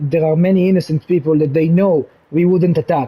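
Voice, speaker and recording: At a moderate pace, a man with an Israeli accent speaks in a dark, mellow tone, his pitch fairly high and his intonation fairly even. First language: Hebrew. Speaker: gaming channel creator. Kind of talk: casual explanatory monologue. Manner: halting, many restarts; calm.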